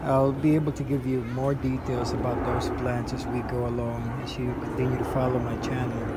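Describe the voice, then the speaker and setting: Moderate pace against loud background noise. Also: man. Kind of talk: casual garden tour narration. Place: garden. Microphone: phone near.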